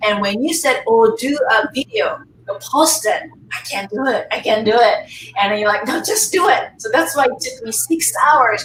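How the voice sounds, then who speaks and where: Over noticeable background noise, a woman with a Japanese accent speaks at a moderate pace with a high pitch and very wide pitch swings. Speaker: face yoga teacher. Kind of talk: casual chat. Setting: live webinar, video call.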